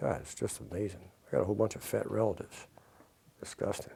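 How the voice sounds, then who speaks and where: Speaking at a very fast pace, a man has a fairly low pitch. His tone is dark and mellow, and somewhat breathy. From US Northeast, Philadelphia. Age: 60s. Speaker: nature photographer. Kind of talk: interview. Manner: halting.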